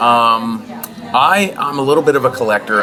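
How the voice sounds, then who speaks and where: With music playing in the background, a man with an American accent speaks at medium pitch and a moderate pace in an energetic tone. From Pittsburgh, Pennsylvania. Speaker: stand-up comedian. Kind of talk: interview. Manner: loud and manic.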